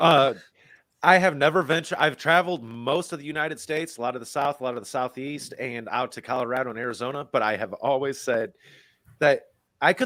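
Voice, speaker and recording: A man with an American accent talks at a fairly quick pace in a fairly high pitch, with ordinary pitch variation, on a very clean recording with a silent background. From US Midwest. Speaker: online community member. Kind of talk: casual chat.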